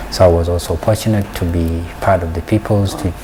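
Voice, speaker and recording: Noticeable background noise surrounds this recording. The man speaking has a very deep, low pitch. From South Sudan. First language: Dinka. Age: 40s. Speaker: peace and development scholar. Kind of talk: interview. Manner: halting.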